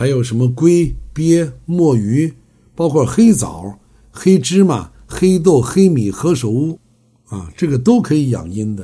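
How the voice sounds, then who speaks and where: A man's dark, mellow, somewhat breathy voice at a fairly slow pace, with lively intonation. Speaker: traditional Chinese medicine health lecturer. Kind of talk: lecture. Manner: frequent filler 啊 interjections.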